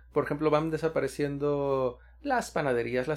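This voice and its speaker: At a moderate pace and fairly high pitch, a man with a normal speaking voice talks over a quiet background. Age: 30s. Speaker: podcast co-host. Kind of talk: casual chat.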